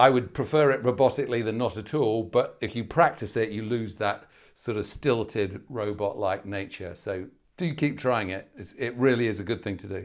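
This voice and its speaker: A man speaks with a British accent at a medium pitch and a moderate pace. His pitch varies in an ordinary way, while his loudness swings a lot. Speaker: medical exam tutor. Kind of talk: webinar Q&A. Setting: online webinar. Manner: loud, animated.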